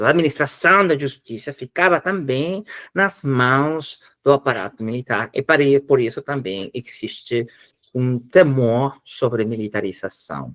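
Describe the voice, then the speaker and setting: Here a man speaks fairly slowly with lively intonation at a medium pitch. The sound is dry and close with no echo. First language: Spanish (speaking Portuguese). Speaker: professor. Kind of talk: lecture. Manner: halting.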